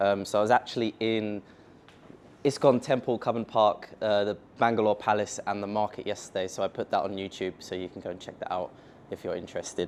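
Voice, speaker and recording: Speaking fairly quickly in a London accent, a man uses a fairly low pitch and fairly even intonation over light background noise. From England, London. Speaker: software company founder, tech speaker; speaker. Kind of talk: conference tech talk. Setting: stage with audience at meetup. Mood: casual, joking. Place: meeting room.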